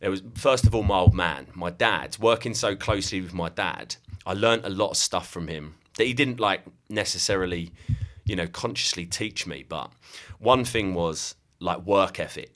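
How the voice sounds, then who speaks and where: Captured in a very clean recording with a silent background, a man speaks at a fairly low pitch with a southeast English accent. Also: ordinary pitch variation, moderate pace. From southeast England, Kent. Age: 30s. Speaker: digital marketing agency owner. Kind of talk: casual interview chat.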